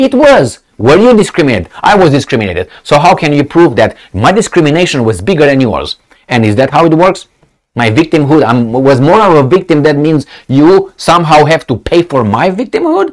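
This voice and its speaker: A man speaks with very wide pitch swings against a quiet background. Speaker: video commentator. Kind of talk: angry political rant. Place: office. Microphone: lapel.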